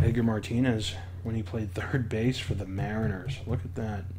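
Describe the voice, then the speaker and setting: Soft-spoken and somewhat breathy, a man talks at a fairly quick pace in a monotone, flat intonation. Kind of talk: ASMR show-and-tell.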